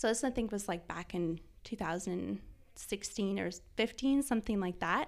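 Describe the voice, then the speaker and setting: On a very clean recording with a silent background, a woman with a Canadian accent speaks at a medium pitch in a normal speaking voice, with ordinary pitch variation. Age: 30s. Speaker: food stylist and photographer. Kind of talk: casual chat.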